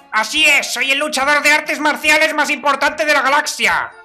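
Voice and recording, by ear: Someone performs a put-on character voice at a fairly quick pace. Faint music plays in the background.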